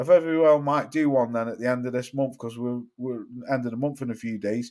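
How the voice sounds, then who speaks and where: Someone speaks at a fairly quick pace with a British accent. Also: man, medium pitch for a man. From England. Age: 40s. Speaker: boxing YouTuber. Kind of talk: casual livestream chat. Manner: animated.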